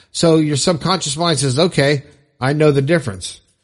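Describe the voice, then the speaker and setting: A man's voice shows ordinary pitch variation over a quiet background. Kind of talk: pep talk. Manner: emphatic, insistent, repeating affirmations with upbeat energy; animated, conversational, loose with self-corrections and restarts.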